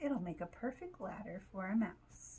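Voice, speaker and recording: Over clear background noise, a woman puts on a squeaky character voice, talking at a moderate pace. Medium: read story.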